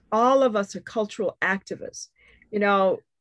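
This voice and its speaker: In a normal speaking voice, a woman with a fairly high pitch talks at a moderate pace with ordinary pitch variation, and the sound is dry and close, with no echo. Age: 60s. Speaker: poet. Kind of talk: panel discussion.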